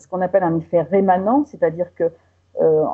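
This woman has a normal speaking voice with a fairly low pitch. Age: 60s. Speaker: patient association president. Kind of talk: interview testimony.

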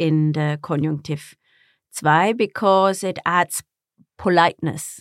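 The background is completely silent, and the recording very clean. In a German accent, a woman talks. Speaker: German teacher and co-host. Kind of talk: casual educational chat.

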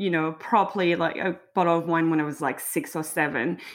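In a French accent, a woman is speaking. Her pace is fairly quick. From south of France. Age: 30s. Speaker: drinks consultant and founder. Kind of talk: interview, casual chat.

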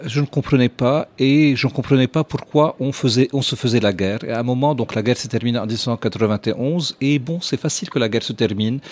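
A normal speaking voice with ordinary pitch variation and hardly any pauses. The sound is dry and close, with no echo. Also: man, medium pitch for a man, moderate pace. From Lebanon. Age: 40s. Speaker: restaurateur. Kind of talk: casual chat.

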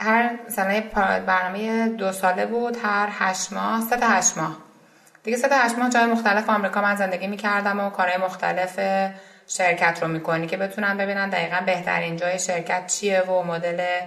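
A woman at medium pitch and moderate pace, fairly even intonation, audible room echo and noticeable background noise. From Iran, Isfahan. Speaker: startup co-founder. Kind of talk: interview.

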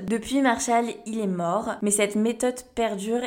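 A woman speaks at a fairly high pitch. Noticeable background noise runs underneath. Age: 20s. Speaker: podcast host. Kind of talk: solo podcast monologue. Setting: home recording at living room table. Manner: casual.

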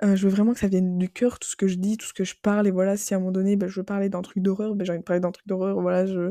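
The voice has a dark, mellow tone in a dry, close sound with no echo. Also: woman. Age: 20s. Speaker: podcaster. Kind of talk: casual monologue. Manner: animated.

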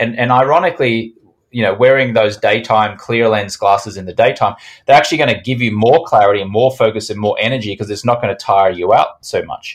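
Someone with an Australian accent talks at a fairly quick pace on a very clean recording with a silent background. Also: man. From Australia, Brisbane. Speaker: sleep product entrepreneur. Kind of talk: podcast interview.

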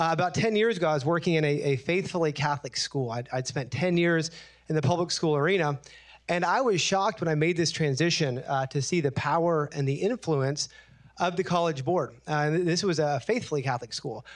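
A plain, everyday voice from a man, fairly high in pitch with ordinary pitch variation, at a fairly quick pace, with very even loudness and a quiet background. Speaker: testing company founder. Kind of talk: panel discussion. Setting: stage with audience.

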